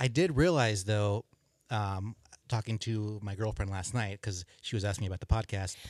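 With an American accent, a man speaks at a moderate pace in a fairly low pitch with ordinary variation, the sound dry and close with no echo on a very clean recording with a silent background. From Southern California. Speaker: podcast guest. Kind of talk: casual chat. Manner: halting.

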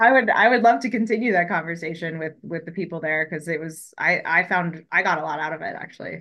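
Speaking very fast with a bright, sharp tone, a woman with an American accent uses a fairly low pitch and big swings in loudness. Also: ordinary pitch variation, hardly any pauses. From Colorado, US. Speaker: fisheries ecologist. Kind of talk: interview.

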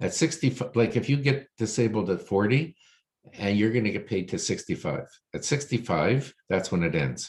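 A man speaks with lively intonation. His voice has vocal fry. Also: medium pitch for a man, fairly slow pace. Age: 60s. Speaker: financial planner. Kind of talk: casual chat.

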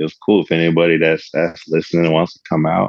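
A man speaks with a very deep, low pitch. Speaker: MC, DJ and poet.

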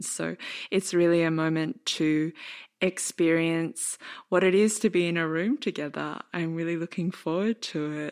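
A woman with an Australian accent, fairly low in pitch, at a fairly slow pace with fairly even intonation, on a very clean recording against a silent background. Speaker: podcast host and dance artist. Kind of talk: casual chat; scripted narration.

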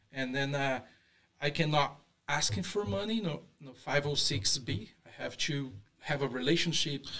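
Bright and sharp in tone, a man speaks at a fairly high pitch and a moderate pace with very wide pitch swings. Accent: Brazilian. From Brazil. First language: Portuguese. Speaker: real estate investor. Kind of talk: interview. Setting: studio. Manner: halting.

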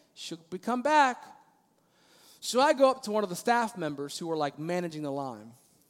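Very wide pitch swings at a moderate pace. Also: man. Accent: American. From Maryland, US. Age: 30s. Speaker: pastor. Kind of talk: sermon. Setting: church.

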